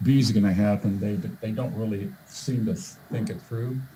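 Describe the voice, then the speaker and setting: A somewhat breathy, dark and mellow voice at a moderate pace. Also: man. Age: 60s. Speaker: volunteer presenter with medical background. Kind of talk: presentation. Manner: halting, many fillers and repeats.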